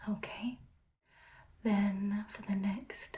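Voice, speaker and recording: Soft-spoken and calm, with a gentle tone, a woman talks at a medium pitch with fairly even intonation. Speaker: ASMR creator playing an ophthalmologist. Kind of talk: ASMR roleplay, soft spoken eye exam. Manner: soft-spoken, calm, gentle.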